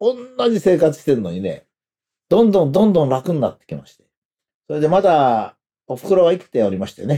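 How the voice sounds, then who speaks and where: A man's fairly high, dark, mellow voice, fairly quick yet broken by long, frequent pauses, with very wide pitch swings and big swings in loudness. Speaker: commentator. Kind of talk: monologue. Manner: hesitant with fillers.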